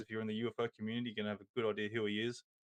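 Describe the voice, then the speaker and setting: A man talks in an Australian accent. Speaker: podcast host. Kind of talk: casual chat. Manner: halting, many fillers.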